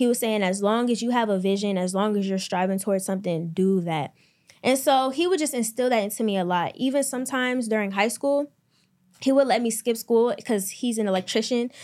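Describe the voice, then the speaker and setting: Fairly high in pitch, a woman talks with a plain, everyday voice. She moves at a fairly quick pace with ordinary pitch variation. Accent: American. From US, Maryland. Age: 20s. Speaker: entrepreneur and clothing brand owner. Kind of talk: casual interview.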